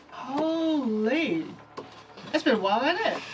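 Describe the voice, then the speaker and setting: A woman puts on a high-pitched character voice with lively intonation, speaking at a fairly slow pace. Background noise is clear in the recording. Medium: actual play.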